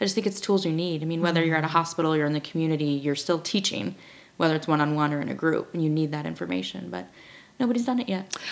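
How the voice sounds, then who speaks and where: This woman talks at a very fast pace with lively intonation, in an American accent. Her pitch is very deep and low. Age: 30s. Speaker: registered dietitian and diabetes educator. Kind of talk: casual interview conversation.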